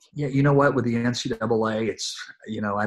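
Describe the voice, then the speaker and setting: A man's normal speaking voice, fairly slow in pace, with fairly even intonation. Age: 50s. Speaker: college basketball coach. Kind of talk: interview.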